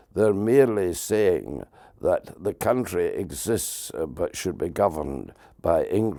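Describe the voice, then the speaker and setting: A man with a Scottish accent at a fairly slow pace, on a very clean recording with a silent background. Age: 80s+. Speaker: political campaigner. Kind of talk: interview.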